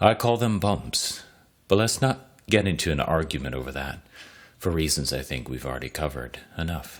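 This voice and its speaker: A man with a very deep, low pitch, vocal fry and very wide pitch swings. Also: moderate pace. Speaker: podcast host and story reader. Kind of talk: reading aloud.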